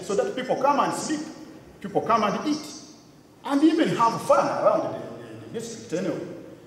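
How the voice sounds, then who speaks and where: Amid audible room echo and light background noise, a man talks at a fairly quick pace. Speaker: conference speaker. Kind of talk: public address. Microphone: podium.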